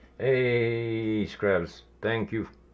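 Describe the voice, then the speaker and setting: A man speaks with a strong Quebec accent. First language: French. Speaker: miniature painter streamer. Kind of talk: casual live stream chat.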